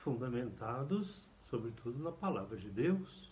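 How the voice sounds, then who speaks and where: With vocal fry and lively intonation, a man talks at a fairly slow pace amid audible room echo. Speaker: priest. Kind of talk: catechesis lecture.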